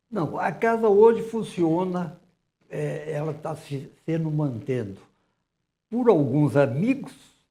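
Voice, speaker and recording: Speaking very slowly with long, frequent pauses, a man with a fairly high pitch and a dark, mellow tone shows big swings in loudness and very wide pitch swings, with audible room echo. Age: 80s+. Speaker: director of a historic house museum. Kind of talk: TV interview.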